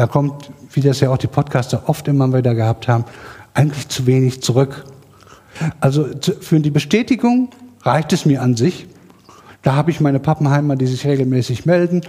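Noticeable background noise sits behind a man with a fairly high pitch. He talks at a fairly quick pace yet leaves long, frequent pauses. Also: ordinary pitch variation. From Sauerland, Germany. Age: 40s. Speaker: science podcast curator on Twitter. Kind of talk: self-introduction at workshop. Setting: workshop room with live audience.

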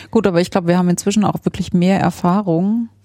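She is a woman with a normal speaking voice, fairly low in pitch, and fairly even intonation. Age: 30s. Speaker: engineer and podcast co-host. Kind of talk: casual interview conversation. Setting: home study room.

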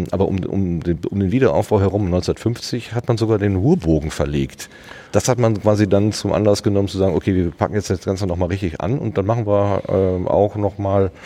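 A man talks at a moderate pace, his fairly low voice showing ordinary pitch variation, while noticeable background noise runs behind him. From Germany, Ruhr area (Hattingen). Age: 50s. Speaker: podcast host. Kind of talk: casual chat. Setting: outdoors.

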